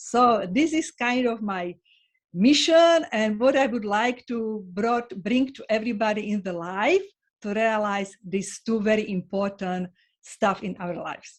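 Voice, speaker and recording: A woman with a Slovak accent speaks at a fairly slow pace and fairly high pitch, with ordinary pitch variation and big swings in loudness. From Slovakia. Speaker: sociologist. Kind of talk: interview. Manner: halting.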